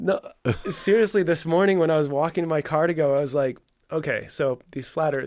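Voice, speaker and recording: In an unremarkable speaking voice with a Canadian accent, a man talks at a fairly quick pace with ordinary pitch variation. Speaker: former pro snowboarder, store owner. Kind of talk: casual podcast chat.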